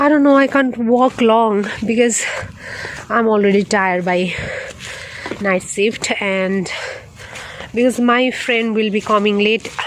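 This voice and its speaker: The speaker has a Nepali accent and ordinary pitch variation. Noticeable background noise runs under the voice. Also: woman. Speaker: nurse vlogger. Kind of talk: casual vlog while walking. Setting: outdoors. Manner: halting.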